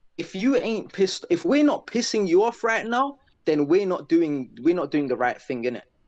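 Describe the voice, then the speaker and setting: Over a quiet background, a man with a London accent and a high pitch talks at a moderate pace with very wide pitch swings. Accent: London multicultural English. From South London. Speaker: guest. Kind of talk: casual chat.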